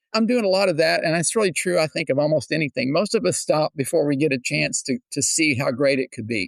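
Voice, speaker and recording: Speaking with an American accent, a man talks at a very fast pace with lively intonation and a fairly high pitch. The sound is dry and close, with no echo. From Texas, Houston. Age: 70s. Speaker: singer-songwriter. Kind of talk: interview.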